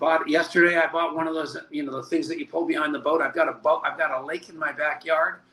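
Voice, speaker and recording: A man's fairly high, monotone voice with flat intonation against noticeable background noise. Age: 70s. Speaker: network marketing leader. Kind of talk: interview.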